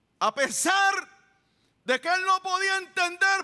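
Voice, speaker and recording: This man has an extremely high pitch and a bright, sharp tone. His voice is raised and projected. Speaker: church pastor giving a sermon. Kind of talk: sermon.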